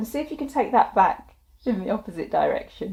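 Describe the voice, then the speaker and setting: This woman's voice is somewhat breathy. It carries a dark, mellow tone. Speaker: wellness instructor. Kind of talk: guided exercise tutorial.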